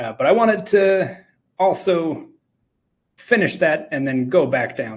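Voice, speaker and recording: Pitch leaps around very widely, with vocal fry running through the voice. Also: man. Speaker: game audio educator and drum teacher. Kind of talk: live technical talk and tutorial. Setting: live talk, screen-share demo. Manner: hesitant, many fillers.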